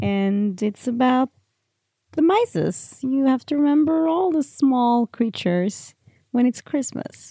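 A Norwegian accent, a dark, mellow tone, lively intonation and a very slow pace, in a dry, close sound with no echo. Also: woman, high pitch for a woman. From Norway. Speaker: co-host. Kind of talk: casual chat. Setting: at home by the fire.

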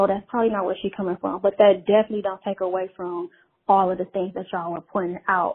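A very fast pace with monotone, flat intonation. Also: woman, medium pitch for a woman. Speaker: caller. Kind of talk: voicemail message. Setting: phone call.

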